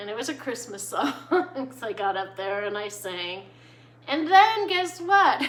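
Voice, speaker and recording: A woman at a fairly slow pace, with very wide pitch swings and noticeable background noise. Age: middle-aged. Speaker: gardening vlogger. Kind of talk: casual chat. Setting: at home, filming vertically. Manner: hesitant, many fillers.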